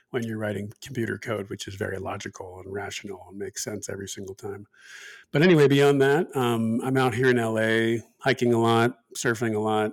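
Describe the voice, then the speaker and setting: This is an ordinary speaking voice. A man speaks at a fairly quick pace. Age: 40s. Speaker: podcast co-host, former programmer. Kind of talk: casual chat.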